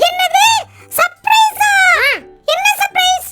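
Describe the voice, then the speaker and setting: This cartoonish character voice sits at an extremely high pitch. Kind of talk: kids puppet show dialogue. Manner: upbeat, comic.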